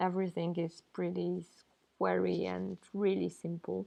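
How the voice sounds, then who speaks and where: She has a non-native accent. The woman's pace is fairly slow. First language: not English. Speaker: pixel artist and game developer. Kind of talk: tutorial.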